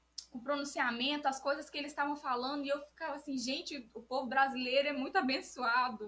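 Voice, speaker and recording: A woman talking at a very fast pace, high-pitched, with fairly even intonation and hardly any pauses. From Brazil. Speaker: church cell group leader. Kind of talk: bible study discussion. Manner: soft-spoken.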